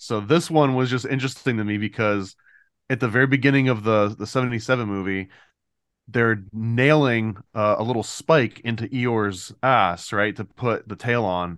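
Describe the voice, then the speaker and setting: In a normal speaking voice, a man talks at medium pitch and a moderate pace with ordinary pitch variation against a quiet background. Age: 40s. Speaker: comic book creator. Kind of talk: casual chat. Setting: video call.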